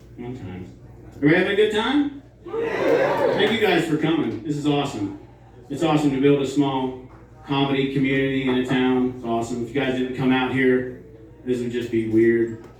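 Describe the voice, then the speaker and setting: Ordinary pitch variation at a moderate pace, with long, frequent pauses, noticeable background noise and audible room echo. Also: man. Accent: American. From West Virginia (Morgantown). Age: 40s. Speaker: stand-up comedian. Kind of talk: stand-up. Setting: stage with audience.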